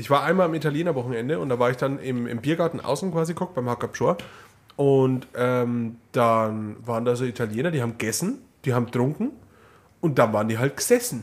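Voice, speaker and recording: A man speaks at medium pitch and a fairly quick pace, in a normal speaking voice. The recording is very clean, with a silent background. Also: ordinary pitch variation. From Upper Palatinate (Neumarkt). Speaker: podcast co-host. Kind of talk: casual chat.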